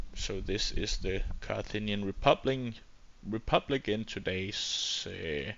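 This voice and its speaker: The speaker is a man with a Danish accent. He talks at a very slow pace. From Denmark. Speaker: gaming YouTuber. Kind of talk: gameplay commentary. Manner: hesitant, many fillers.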